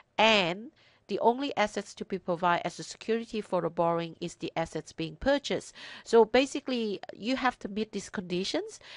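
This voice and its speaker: In a quiet background with a dry, close sound and no echo, a woman with a non-native accent speaks at a fairly quick pace with a medium pitch and lively intonation. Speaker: accountant and financial services business owner. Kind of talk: educational presentation.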